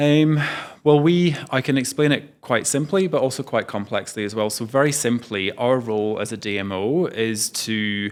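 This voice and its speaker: A man's medium-pitched voice with a British accent, lively intonation and moderate pace on a very clean recording with a silent background. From United Kingdom. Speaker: tourism executive. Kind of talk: interview. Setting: travel trade event in Las Vegas. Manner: hesitant, many fillers.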